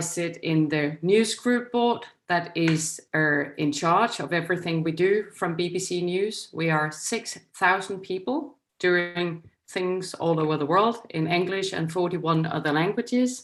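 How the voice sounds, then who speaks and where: Speaking at a fairly slow pace, a woman with a Danish accent uses a fairly low pitch and ordinary pitch variation on a very clean recording with a silent background. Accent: Danish, still quite noticeable. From Denmark. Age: 50s. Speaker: news executive. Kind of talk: lecture. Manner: reading from a script.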